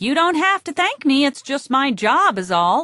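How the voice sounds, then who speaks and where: A woman's put-on character voice, high-pitched with very wide pitch swings, at a moderate pace, dry and close with no echo against a quiet background. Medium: read story. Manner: patient, teacherly.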